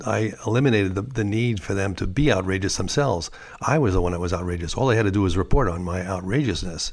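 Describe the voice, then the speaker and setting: In a New York accent, a man speaks at a very fast pace and a fairly low pitch, with ordinary pitch variation. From US Northeast, New York City. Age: 70s. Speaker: artist and prankster. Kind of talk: interview. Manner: halting.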